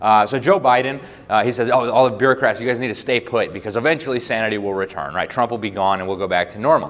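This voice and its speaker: Against noticeable background noise, a man speaks very fast at a medium pitch with ordinary pitch variation. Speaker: journalist and public speaker. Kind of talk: speech to a live audience.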